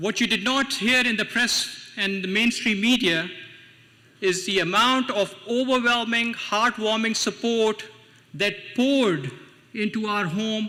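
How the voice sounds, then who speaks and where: Over noticeable background noise, a man speaks in a raised, projected voice. His pitch is high with ordinary variation, and his pace is fairly slow. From Pakistan. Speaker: city council member and party official. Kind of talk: speech at a political event.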